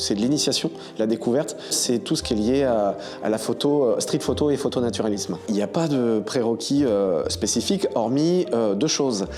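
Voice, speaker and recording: Over background music, a man speaks with lively intonation and very even loudness. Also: medium pitch for a man, moderate pace. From Paris region, France. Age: 40s. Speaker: photographer and trainer. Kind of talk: interview-style self-presentation. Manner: hesitant, many fillers.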